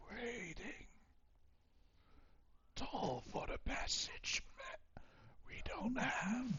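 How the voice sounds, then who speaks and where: In a put-on character voice, the speaker whispers raspily at a very slow pace, with long, frequent pauses. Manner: whispered.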